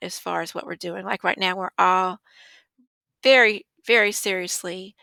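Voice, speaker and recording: The tone is bright and sharp, in a Southern US accent, at a fairly slow pace. The sound is dry and close with no echo, on a very clean recording with a silent background. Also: woman. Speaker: business owner. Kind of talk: casual interview chat.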